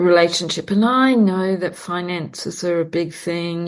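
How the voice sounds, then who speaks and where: A woman talks with a fairly low pitch. The background is quiet. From New Zealand. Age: 60s. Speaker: podcast host, perfumer and astrologer. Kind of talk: casual chat.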